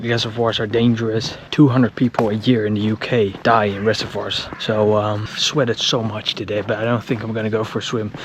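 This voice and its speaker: A man's fast-ish, flat, monotone delivery with hardly any pauses, over noticeable background noise. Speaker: outdoor vlogger. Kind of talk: vlog narration. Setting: outdoors. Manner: quiet.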